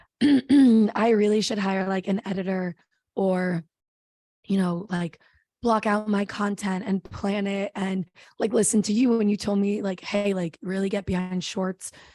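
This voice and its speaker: A woman with an American accent speaks at a fairly slow pace and medium pitch, her tone dark and mellow with fairly even intonation. The sound is dry and close with no echo, over a quiet background. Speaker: travel vlogger. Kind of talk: casual chat. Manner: loud.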